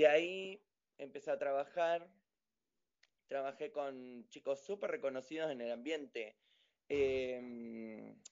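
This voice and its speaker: A man with a fairly high pitch, very slow pace and ordinary pitch variation. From Argentina, General Roca, Río Negro (Patagonia). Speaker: professional dancer. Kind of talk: interview.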